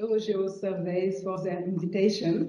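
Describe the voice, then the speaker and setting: Someone with a French accent speaks at a very slow pace in a dark, mellow tone. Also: woman. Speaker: geological survey organisation president. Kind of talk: conference presentation. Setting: conference room with audience. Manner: halting, with frequent hesitations.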